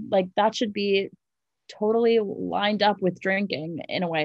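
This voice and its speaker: A woman speaks in a normal speaking voice, with ordinary pitch variation. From US Northeast, New York City. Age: 20s. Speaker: beverage company founder. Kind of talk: interview.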